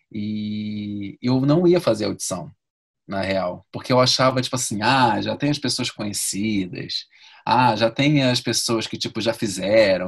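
Speaking in a normal speaking voice, a man talks at a fairly slow pace with a medium pitch and ordinary pitch variation. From Rio de Janeiro, Brazil. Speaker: actor and ballet dancer. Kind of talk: interview.

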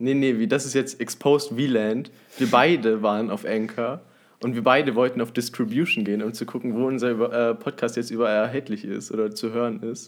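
With a normal speaking voice at a medium pitch, a man speaks at a moderate pace and with fairly even intonation on a very clean recording over a silent background. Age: young. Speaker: podcast co-host. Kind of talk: casual chat.

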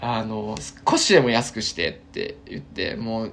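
A man talks at a moderate pace. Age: 30s. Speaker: ramen shop owner. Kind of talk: casual solo monologue. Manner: casual, many fillers.

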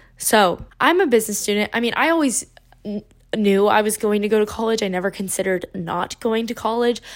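In an ordinary speaking voice, a woman talks at a fairly quick pace with fairly high pitch and ordinary pitch variation. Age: 20s. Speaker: podcast host, recent college graduate. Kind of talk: casual solo monologue. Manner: chatty, filler-heavy.

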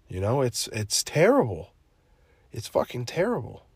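In a very clean recording with a silent background, a man speaks at a moderate pace in an animated tone. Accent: American. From New Jersey. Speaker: podcast host. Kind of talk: casual solo monologue. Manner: halting.

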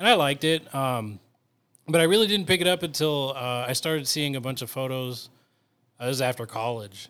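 In a very clean recording with a silent background, a man with an American accent and an unremarkable speaking voice talks fairly quickly at a fairly high pitch, using ordinary pitch variation. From Northern California. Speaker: photographer and videographer. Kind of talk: casual chat.

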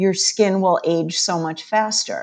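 This woman has a normal speaking voice at a medium pitch. She talks at a moderate pace with ordinary pitch variation. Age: 50s. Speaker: chiropractor and nutrition expert. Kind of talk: interview.

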